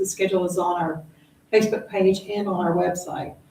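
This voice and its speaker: Monotone, flat intonation amid audible room echo and noticeable background noise. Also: woman. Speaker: environmental outreach presenter. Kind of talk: community meeting presentation Q&A. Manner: fast.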